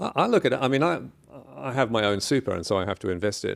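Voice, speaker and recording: Very fast speech from a man with a fairly low pitch and ordinary pitch variation. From England, Kent. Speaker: journalist and author. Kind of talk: interview.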